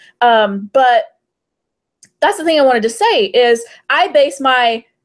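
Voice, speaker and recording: A woman's high voice with lively intonation. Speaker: fantasy romance author and podcast panelist. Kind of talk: casual panel discussion.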